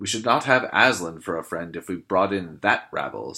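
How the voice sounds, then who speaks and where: A man puts on a character voice with a very deep, low pitch, speaking at a moderate pace. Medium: read story. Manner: earnest, firm.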